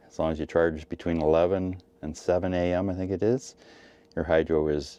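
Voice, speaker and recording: With a very deep, low pitch and a dark, mellow tone, a man speaks at a fairly quick pace with fairly even intonation. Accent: Western Canadian. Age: 60s. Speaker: retired mechanic and EV vlogger. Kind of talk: casual video blog.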